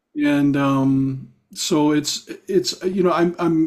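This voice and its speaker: In a plain, everyday voice, a man speaks at a fairly high pitch with fairly even intonation. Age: 60s. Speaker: singer-songwriter. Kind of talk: casual interview chat.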